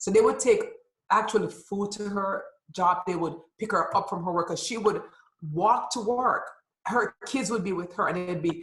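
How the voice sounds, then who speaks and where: Here a woman talks at a moderate pace. Her voice is somewhat breathy. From Jamaica. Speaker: nonprofit founder and women's empowerment coach. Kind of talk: interview.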